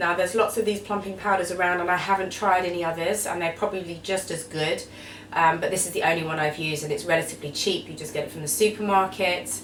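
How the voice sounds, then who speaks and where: With an Essex accent, a woman speaks very fast in a fairly low pitch and fairly even intonation, with noticeable background noise and audible room echo. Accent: Essex twang. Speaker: beauty vlogger. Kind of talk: tutorial.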